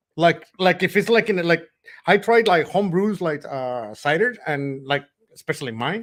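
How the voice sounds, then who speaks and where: A man speaks with a Spanish accent, his pitch high. His intonation is lively. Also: moderate pace. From Mexico. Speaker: homebrewer, friend of host. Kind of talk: casual chat.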